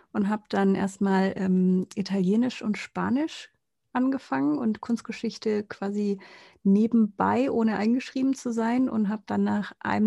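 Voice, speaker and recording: There is some breathiness in this voice. It carries a dark, mellow tone. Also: woman. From Konstanz, southern Germany (Lake Constance). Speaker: podcast co-host. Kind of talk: casual chat.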